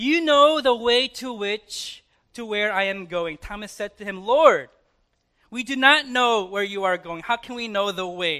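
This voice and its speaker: In a very clean recording with a silent background, a man with an American accent projects a raised, high-pitched voice with a bright, sharp tone, lively intonation, big swings in loudness and a fairly slow pace. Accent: strong American accent when speaking Korean. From Chicago, US. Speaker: pastor. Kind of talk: sermon. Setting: church.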